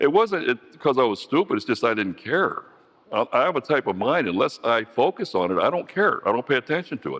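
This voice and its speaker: With very wide pitch swings and a fairly quick pace, a man speaks in a dry, close sound with no echo. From US Midwest, Youngstown, Ohio. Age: 60s. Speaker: recovering alcoholic speaker. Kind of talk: testimony. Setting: speaker meeting, livestream. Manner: halting, many repeated words.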